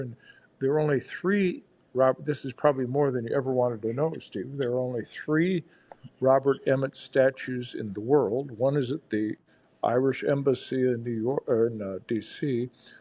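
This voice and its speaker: A man's medium-pitched voice with a Midwestern American accent and ordinary pitch variation. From rural Iowa. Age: 70s. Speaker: federal judge. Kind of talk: casual interview chat. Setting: podcast interview.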